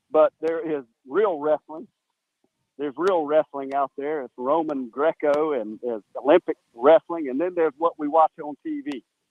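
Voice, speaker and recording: A normal speaking voice moves at a moderate pace with fairly even intonation but big swings in loudness. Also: man, fairly high pitch for a man. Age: 60s. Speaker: caller. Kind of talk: casual chat.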